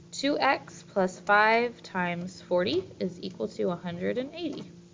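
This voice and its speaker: Lively intonation marks this woman's medium-pitched voice. She speaks at a fairly slow pace with vocal fry. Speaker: math teacher. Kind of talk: tutorial.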